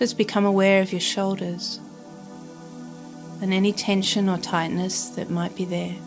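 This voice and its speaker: With music in the background, a woman in an Australian accent talks at medium pitch in a monotone, flat delivery broken by long, frequent pauses. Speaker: meditation guide. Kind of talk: guided meditation. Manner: soft-spoken, slow.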